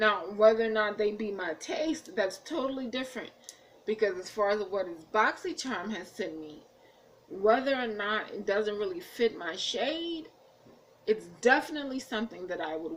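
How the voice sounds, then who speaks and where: An American accent with big swings in loudness and very wide pitch swings. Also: woman, fairly high pitch for a woman, moderate pace. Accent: Jersey accent turning Southern. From New Jersey / Washington DC. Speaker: beauty vlogger. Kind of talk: casual vlog chat. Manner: halting.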